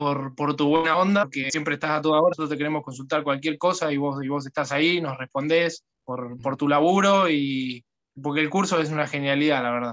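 A man speaking with fairly even intonation against a quiet background. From Argentina, Buenos Aires province. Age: 20s. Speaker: guitar student. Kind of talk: testimony. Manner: halting, repeats words. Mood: grateful, relaxed. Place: home room. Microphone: phone near.

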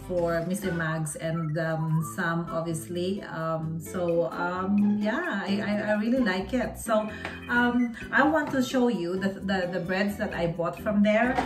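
Over clear background music, a woman speaks at a very slow pace. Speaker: vlogger. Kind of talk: casual vlog chat. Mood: happy, enthusiastic. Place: home room. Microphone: phone near.

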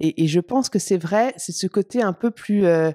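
A woman speaks at medium pitch with lively intonation and a dark, mellow tone. The sound is dry with no echo, over a quiet background. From Champagne, France; France. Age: 40s. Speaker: company CEO; interview guest. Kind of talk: interview. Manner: hesitant, repeats words. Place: home room. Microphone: handheld.

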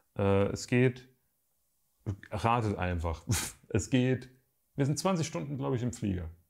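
The man takes a fairly slow pace. His voice leaps between very high and very low pitches. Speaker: YouTuber and photographer; photography youtuber. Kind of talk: casual vlog update to viewers. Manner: casual, hesitant with fillers. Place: home room.

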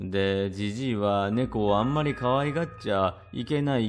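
This man has an ordinary speaking voice, pitched fairly low with ordinary variation. He keeps a moderate pace. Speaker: storyteller reading a classic ghost story. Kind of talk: literary kaidan reading aloud, old-fashioned storytelling. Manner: formal, polite old-fashioned speech, narrating like an elderly woman.

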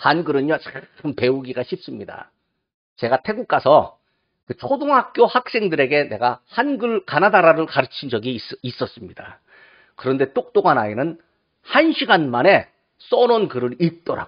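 A man speaks at a moderate pace with very wide pitch swings over a quiet background. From South Korea. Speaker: pastor. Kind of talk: sermon. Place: church. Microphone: podium.

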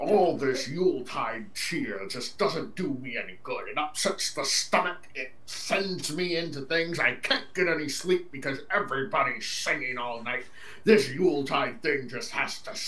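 A man puts on a character voice. It sits fairly high in pitch and moves at a moderate pace.

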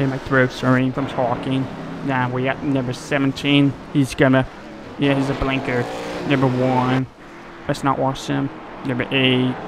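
Against noticeable background noise, a man with an American accent speaks at a moderate pace in a medium-pitched, monotone, flat voice, with long, frequent pauses. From North Carolina. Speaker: sim racing streamer. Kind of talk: live gameplay commentary. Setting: home gaming setup. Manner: casual, filler-heavy.

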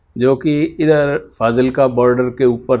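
With fairly even intonation, a man delivers his words at a very slow pace. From Bahawalnagar region, Punjab, Pakistan; raised in Haryana; Punjab, Pakistan. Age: 70s. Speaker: retired politician, partition survivor. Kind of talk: oral history interview. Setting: in person in Sirsa. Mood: earnest, reflective storytelling. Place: home room. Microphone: lapel.

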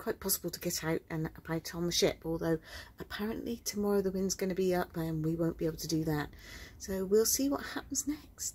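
This woman talks at a fairly quick pace with a fairly low pitch. Her dark, mellow tone is somewhat breathy. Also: ordinary pitch variation. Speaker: cruise vlogger's wife. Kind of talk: casual vlog chat. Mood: calm, mildly wry. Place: boat. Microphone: phone near.

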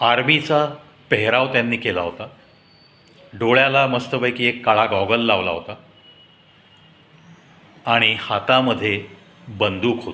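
A man's bright, sharp tone at a fairly slow pace, with long, frequent pauses and audible room echo. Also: medium pitch for a man, ordinary pitch variation.

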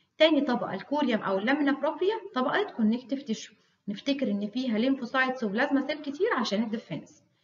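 A woman talks very fast with hardly any pauses, in an Egyptian accent. Her pitch is high and her intonation lively. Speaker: histology lecturer. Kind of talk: lecture. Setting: recorded video lecture.

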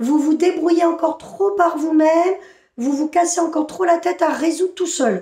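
In a room with audible echo but a quiet background, a woman with an extremely high pitch and a dark, mellow tone speaks at a moderate pace. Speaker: spiritual channeler. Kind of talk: channeled spiritual message. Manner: animated. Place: home room. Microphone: phone near.

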